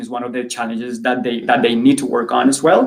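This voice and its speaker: A man talks at a very fast pace. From Colombia. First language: Spanish. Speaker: student career advisor. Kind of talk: panel discussion. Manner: animated.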